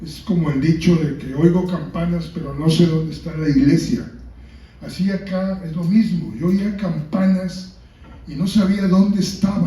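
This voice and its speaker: A man speaks at a fairly slow pace with fairly even intonation. His voice is high, with audible room echo. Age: 70s. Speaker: book author. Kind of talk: book presentation talk.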